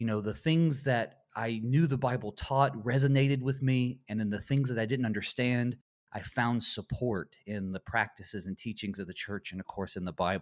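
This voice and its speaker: An ordinary speaking voice from a man of medium pitch, moderate in pace with ordinary pitch variation and hardly any pauses, on a very clean recording with a silent background. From US South, Western North Carolina. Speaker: Lutheran pastor. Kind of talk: radio interview on theology.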